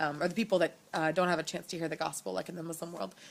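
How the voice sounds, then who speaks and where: Her intonation monotone and flat, a woman talks at a fairly low pitch. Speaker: missionary. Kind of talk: video update to supporters. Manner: fast; hesitant, many fillers.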